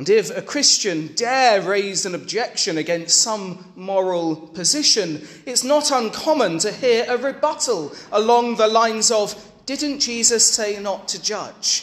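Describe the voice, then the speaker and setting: A man with a British accent speaks at a fairly slow pace in a high pitch. Noticeable background noise runs underneath. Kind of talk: sermon, homily. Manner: emphatic, forceful, declaring; formal, earnest, rhetorical.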